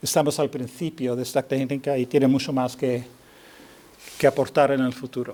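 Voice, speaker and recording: Speaking at a fairly quick pace with a non-native accent, a man comes through on a very clean recording with a silent background. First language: not Spanish (speaking Spanish). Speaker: neurosurgeon. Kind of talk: lecture. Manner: halting.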